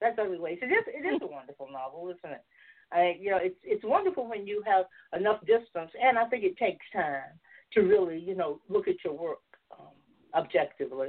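Talking at a fairly quick pace, a woman with a Southern US accent uses medium pitch and lively intonation. Her loudness swings widely. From US South, Georgia. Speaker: novelist and filmmaker. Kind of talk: casual chat, interview. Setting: video call, online.

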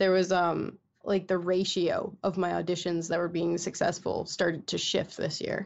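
A woman with an American accent speaks at a fairly low pitch in a monotone, flat delivery. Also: moderate pace. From Michigan. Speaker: voice actress. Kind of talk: casual chat.

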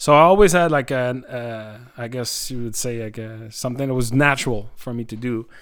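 Speaking in a Quebec accent, a man talks at a fairly quick pace with hardly any pauses. His medium pitch shows ordinary variation, while his loudness swings widely. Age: 40s. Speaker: live sound technician. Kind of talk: interview. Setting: his country house. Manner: hesitant, many fillers.

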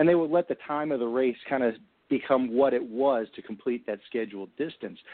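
A man with a normal speaking voice and a medium pitch talks at a fairly quick pace, showing ordinary pitch variation. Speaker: panel regular. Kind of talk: opinion discussion.

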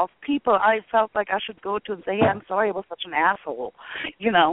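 A woman speaks at a medium pitch. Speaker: caller. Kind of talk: casual chat.

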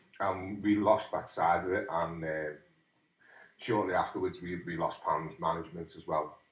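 A man with a Liverpool accent talks at a fairly slow pace. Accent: Scouse (Liverpool). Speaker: musician. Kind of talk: interview. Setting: phone call. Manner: halting.

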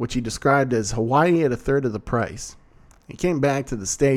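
This is a natural reading voice. It is a natural reading voice throughout.

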